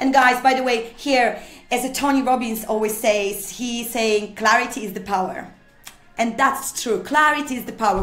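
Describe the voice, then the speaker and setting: Speaking with a non-native accent at a moderate pace, a woman with a high pitch is heard amid audible room echo and music in the background. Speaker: motivational speaker. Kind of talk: motivational talk. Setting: studio. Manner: animated.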